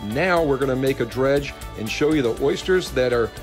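Over clear music in the background, a man keeps up a moderate pace. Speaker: outdoor TV show host. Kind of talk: casual show commentary. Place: boat.

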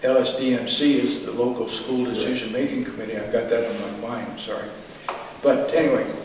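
A man with an American accent at a moderate pace, light background noise and audible room echo. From Indiana, US Midwest. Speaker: war veteran. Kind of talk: oral history interview. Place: hall. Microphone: camera far.

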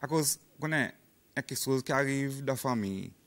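A man speaking at a moderate pace. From Seychelles. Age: 40s. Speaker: police officer; guest. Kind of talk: interview. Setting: studio. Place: studio.

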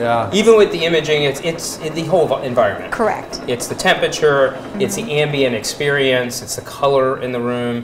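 Over noticeable background noise, a man talks at a fairly quick pace with hardly any pauses. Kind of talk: interview answer. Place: hall. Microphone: lapel.

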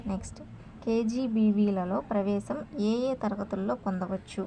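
A woman's medium-pitched voice with a dark, mellow tone and vocal fry, slow in pace with fairly even intonation.

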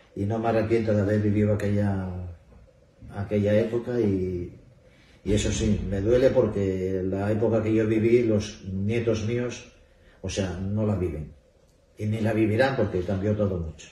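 A man with a fairly low voice and ordinary pitch variation speaks with long, frequent pauses while audible room echo surrounds him. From Asturias, Spain (Infiesto, Piloña); Asturias, Spain. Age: 60s. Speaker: retired bank employee, festival speaker; speaker. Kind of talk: interview. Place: hall. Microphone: camera far.

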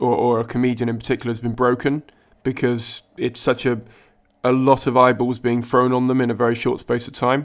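Here a man talks in a British accent at a medium pitch. His pace is moderate. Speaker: comedian and podcast host. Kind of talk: interview.

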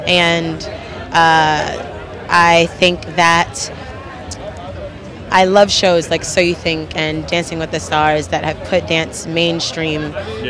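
Against crowd noise in the background, a woman speaks at a fairly low pitch with ordinary pitch variation and a dry sound with no echo. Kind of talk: interview answer. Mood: upbeat, enthusiastic. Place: hall. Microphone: handheld.

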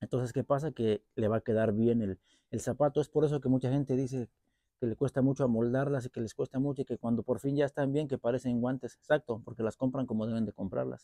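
Against a quiet background, a man with a Mexican accent talks very fast at a medium pitch with fairly even intonation, the sound dry with no echo. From Mexico. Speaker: boot collector and repair youtuber. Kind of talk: product review vlog. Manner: casual, halting with repetitions. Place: garden. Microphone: lapel.

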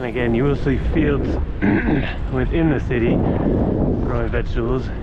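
A man's voice comes through dry, with no echo, against loud background noise. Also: moderate pace. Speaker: cyclist narrator. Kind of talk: casual commentary. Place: bicycle. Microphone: phone near.

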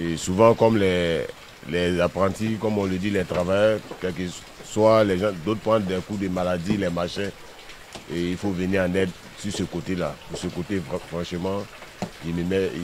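A man with a very deep, low pitch talks at a moderate pace, his intonation fairly even. Long, frequent pauses come through over noticeable background noise. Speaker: carpenter. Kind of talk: interview.

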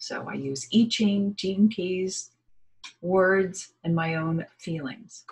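A woman's somewhat breathy voice comes through over a quiet background. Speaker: spiritual energy reader. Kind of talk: casual vlog chat. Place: home room. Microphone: webcam.

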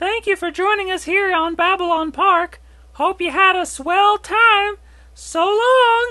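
The voice is extremely high in pitch and moves at a fairly slow pace. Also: quiet background. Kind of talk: TV host patter. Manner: chirpy, promotional.

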